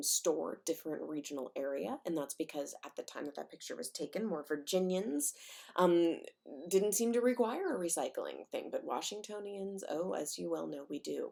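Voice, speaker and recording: A woman with an American accent speaks at a moderate pace, her loudness swinging widely. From Missouri, St. Louis. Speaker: high school English teacher. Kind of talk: recorded lesson. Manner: casual, with many fillers.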